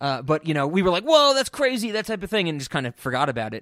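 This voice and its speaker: A man with an American accent talks at a fairly quick pace, his pitch swinging very widely. The recording is very clean, with a silent background. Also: dry, close sound with no echo. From US. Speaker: podcast co-host. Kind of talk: casual chat.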